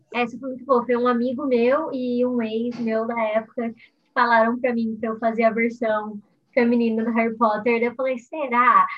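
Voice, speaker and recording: Intonation stays monotone and flat. The pace is moderate. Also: woman, high pitch for a woman. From Brazil, São Paulo state. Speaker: singer and YouTuber. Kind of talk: casual interview.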